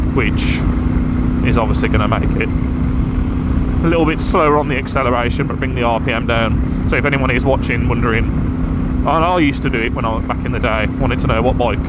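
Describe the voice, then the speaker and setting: In a room with audible echo and noticeable background noise, a man speaks at a fairly quick pace. His very deep, low voice swings widely in pitch while his loudness stays very even. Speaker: motorcycle vlogger. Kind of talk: casual motovlog monologue.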